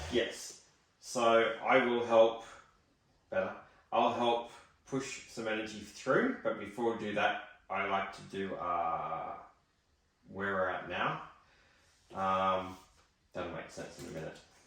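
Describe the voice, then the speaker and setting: Over audible room echo, a man with a fairly low pitch and fairly even intonation speaks at a very slow pace, with big swings in loudness and long, frequent pauses. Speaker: psychic medium. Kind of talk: spiritual reading session.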